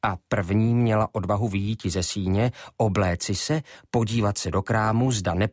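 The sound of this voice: An unforced reading voice with fairly even intonation throughout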